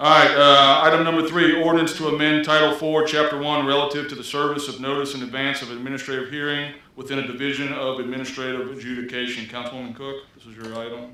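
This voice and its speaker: Over noticeable background noise, a man races along at a very fast pace with hardly any pauses, his fairly high voice flat and monotone, with big swings in loudness. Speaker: council meeting chair. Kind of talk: chairing a public meeting. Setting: council meeting at fire station with audience. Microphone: too quiet in the back of the room.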